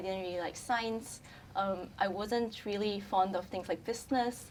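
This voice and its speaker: A woman with a Chinese accent, medium pitch, fairly even intonation and a moderate pace. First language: Mandarin Chinese. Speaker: brand communications specialist. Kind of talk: casual chat.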